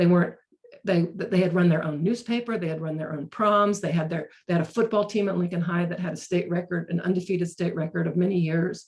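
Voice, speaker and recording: This woman talks at a very fast pace in an American accent. Her pitch sits fairly low, with fairly even intonation. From North Carolina, Chapel Hill. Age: 60s. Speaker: racial justice trainer. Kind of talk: webinar talk. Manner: halting, frequent repetitions.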